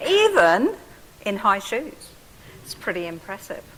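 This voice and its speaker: With an English accent, a woman talks in a fairly high pitch over noticeable background noise. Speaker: professor and physiotherapist. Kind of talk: public talk.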